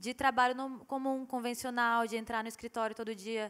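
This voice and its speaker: A woman with a high pitch speaks in a monotone with flat intonation. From Brazil, Rio Grande do Norte (Mossoró). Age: 20s. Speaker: visual artist. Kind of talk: panel discussion. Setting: stage with audience.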